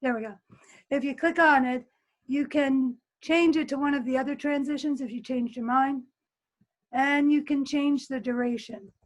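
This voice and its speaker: Fairly even intonation with long, frequent pauses against a quiet background. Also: woman, high pitch for a woman, moderate pace. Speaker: teacher running a video editing workshop. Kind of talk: tutorial. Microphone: webcam.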